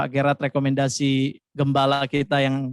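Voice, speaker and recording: A man speaks with a fairly high pitch. The recording is very clean with a silent background and a dry, close sound with no echo. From Jakarta, Indonesia (Batak family). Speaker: pastor. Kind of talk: sermon.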